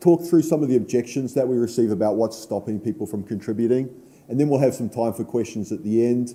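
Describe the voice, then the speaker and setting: In a New Zealand accent, a man speaks with a dark, mellow tone and ordinary pitch variation. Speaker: conference speaker, software association board member. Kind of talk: conference talk.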